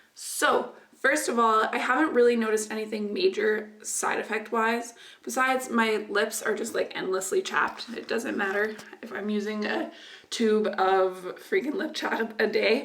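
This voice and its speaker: A woman's fairly high voice at a moderate pace with ordinary pitch variation, audible room echo and noticeable background noise. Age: young. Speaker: beauty vlogger. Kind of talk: casual vlog.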